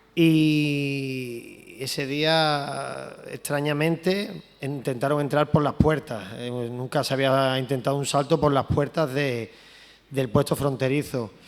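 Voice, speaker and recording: A man speaks at a very slow pace. His fairly high pitch carries fairly even intonation. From Andalusia, Spain. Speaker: photojournalist. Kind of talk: talk presenting a photo to an audience.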